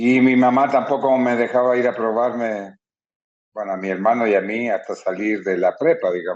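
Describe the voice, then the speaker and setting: A man with a plain, everyday voice, fairly even intonation and a moderate pace. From Chile. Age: 60s. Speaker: retired footballer. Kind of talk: interview.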